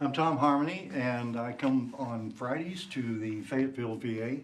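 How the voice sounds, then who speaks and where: Audible room echo surrounds speech delivered at a moderate pace with ordinary pitch variation. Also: man. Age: 70s. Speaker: tai chi teacher, veteran. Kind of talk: personal introduction.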